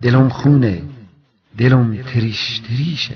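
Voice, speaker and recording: A man's somewhat breathy voice at medium pitch, very slow in pace. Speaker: poetry reciter. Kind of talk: poetry reading.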